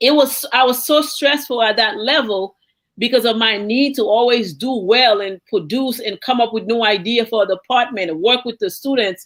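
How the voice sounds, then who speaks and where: With a Haitian accent, a woman speaks at a moderate pace with a fairly high pitch, an animated tone and ordinary pitch variation. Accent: Haitian Caribbean. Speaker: university professor. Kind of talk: panel discussion.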